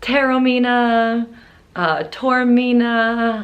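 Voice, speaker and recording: Fairly high-pitched woman's voice with audible room echo. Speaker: travel vlogger. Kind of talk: vlog. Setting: hotel room. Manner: quiet.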